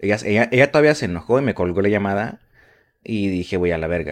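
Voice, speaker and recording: Against a quiet background, someone talks at a very fast pace with a Mexican accent. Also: man. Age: 20s. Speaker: podcast host. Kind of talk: casual chat.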